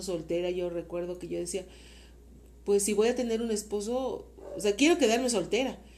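The woman has a Mexican accent, a medium pitch and ordinary pitch variation. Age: 50s. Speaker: host's mother. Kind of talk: interview.

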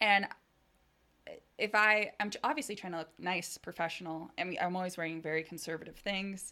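A woman's medium-pitched voice in a Californian accent, bright and sharp in tone with ordinary pitch variation, at a fairly quick pace in a very clean recording with a silent background. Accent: general American, Californian. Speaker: product marketing manager. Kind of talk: casual interview chat.

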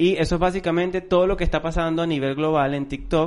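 At a fairly quick pace, a man talks in an unremarkable speaking voice pitched fairly high. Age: 30s. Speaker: marketing podcast co-host. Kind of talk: casual chat. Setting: recording room.

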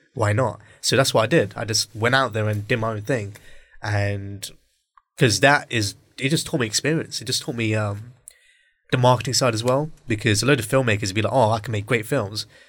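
Here a man speaks with a British accent at a fairly quick pace. His pitch is medium, his intonation fairly even, and the recording very clean with a silent background. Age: 20s. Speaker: podcast host and aspiring filmmaker. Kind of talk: casual chat. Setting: studio, in-person recording, socially distanced.

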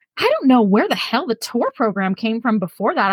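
Very fast woman's voice, fairly high-pitched, with an American accent. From US West Coast, San Leandro, California (Bay Area). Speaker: podcast guest, fan. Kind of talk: casual chat. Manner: animated.

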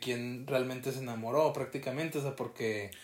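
A man with a Mexican accent, medium pitch, and a moderate pace. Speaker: podcast co-host. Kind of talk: casual chat.

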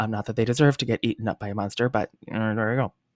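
A man with an American accent, very fast and animated, in a dry, close sound with no echo. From Washington State. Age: 30s. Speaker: podcast host. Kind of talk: casual storytelling monologue.

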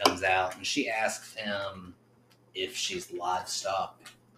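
A man talks at a fairly slow pace in a fairly low pitch. Background noise is noticeable. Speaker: podcast host. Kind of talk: casual chat. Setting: in person studio.

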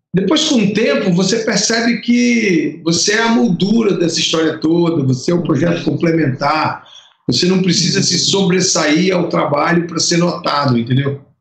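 With hardly any pauses, a man talks at a moderate pace in a high pitch, his intonation lively and his loudness very even, with audible room echo around him. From Brazil, Piauí and Fortaleza (Ceará). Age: 50s. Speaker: lighting designer. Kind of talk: interview. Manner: halting, many repetitions.

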